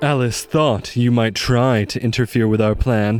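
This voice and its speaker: Here a man puts on a character voice. His pitch is medium, and his intonation stays fairly even. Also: moderate pace. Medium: audio drama.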